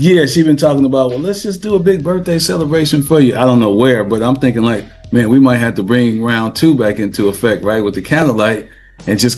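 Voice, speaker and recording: Over music in the background, a man with an American accent talks at a fairly quick pace and medium pitch with lively intonation. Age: 50s. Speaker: veteran rapper and party promoter. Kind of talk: casual interview chat.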